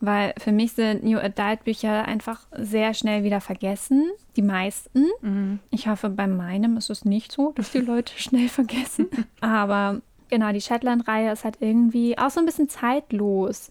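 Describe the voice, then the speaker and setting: With an ordinary speaking voice, a woman talks at a fairly slow pace in a fairly high pitch with ordinary pitch variation. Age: 20s. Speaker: podcast co-host. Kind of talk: casual chat.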